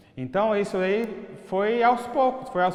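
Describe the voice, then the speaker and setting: High-pitched man at a moderate pace amid noticeable background noise. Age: 60s. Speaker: business owner. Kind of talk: interview testimony.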